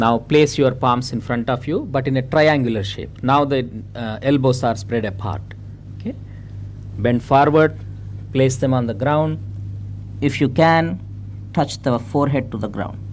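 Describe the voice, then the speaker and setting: An American accent from a man at medium pitch and a moderate pace, with long, frequent pauses, ordinary pitch variation and noticeable background noise. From India. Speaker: yoga teacher. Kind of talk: yoga class instruction. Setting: festival class with live group. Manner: hesitant, many fillers (uh, okay).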